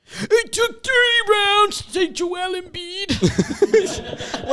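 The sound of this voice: In a put-on character voice pitched extremely high, the speaker goes at a very slow pace against clear background noise.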